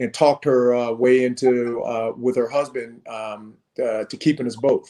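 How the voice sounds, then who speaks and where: His voice dark and mellow, a man speaks at a medium pitch and moderate pace with monotone, flat intonation. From South Korea, then Lawton, Oklahoma from age 8. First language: Korean. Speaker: fitness founder and author. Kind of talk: interview testimony. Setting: Facebook Live video stream. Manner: hesitant, many fillers.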